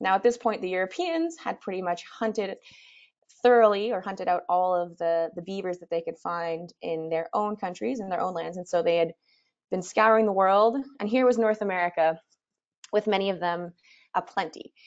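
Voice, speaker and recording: At a moderate pace, a woman talks with ordinary pitch variation against a quiet background. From Canada. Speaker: expedition leader and presenter. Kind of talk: webinar presentation. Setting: webinar. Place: home room.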